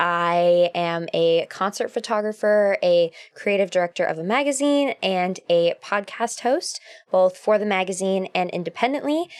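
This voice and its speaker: A woman's medium-pitched voice with an American accent, fairly slow pace and ordinary pitch variation. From US Pacific Northwest, Seattle. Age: 20s. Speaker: photographer and podcaster. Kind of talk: casual chat.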